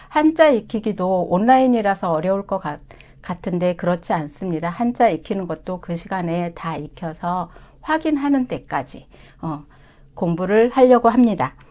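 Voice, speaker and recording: A woman speaks in a dark, mellow tone with very wide pitch swings and big swings in loudness, on a very clean recording with a silent background. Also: medium pitch for a woman, moderate pace. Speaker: Chinese language instructor. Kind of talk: course information session.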